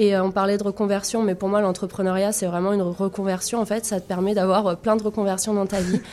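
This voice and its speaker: A woman's dark, mellow voice at a very fast pace, monotone and flat, with hardly any pauses. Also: medium pitch for a woman. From France. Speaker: tech entrepreneur, founder. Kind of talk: radio interview.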